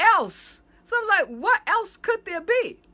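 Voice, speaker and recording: A woman's raised, projected voice, animated and bright and sharp in tone, at a fairly slow pace. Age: 60s. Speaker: pastor. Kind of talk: casual video monologue.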